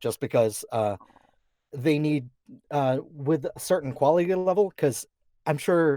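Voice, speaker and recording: In a dry, close sound with no echo, a man talks with ordinary pitch variation and long, frequent pauses. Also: fairly high pitch for a man. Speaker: voice actor. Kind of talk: casual talk about voice acting, interview answer.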